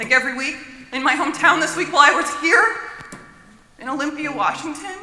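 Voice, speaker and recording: Someone with an American accent talks at a moderate pace amid noticeable background noise. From Florida, US South. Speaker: audience member asking a question. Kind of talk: audience comment at panel Q&A. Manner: casual, filler-heavy.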